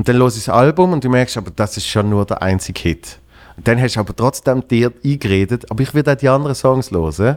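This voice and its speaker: Lively intonation from a man at medium pitch and a fairly quick pace. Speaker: podcast host and comedian. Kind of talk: casual chat.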